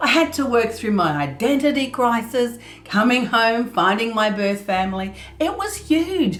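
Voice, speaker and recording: A woman speaks loudly at a high pitch, her voice making very wide pitch swings. She keeps a fairly slow pace, and audible room echo surrounds her. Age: 50s. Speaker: art youtuber. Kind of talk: tutorial. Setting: art studio. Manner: laughs a lot.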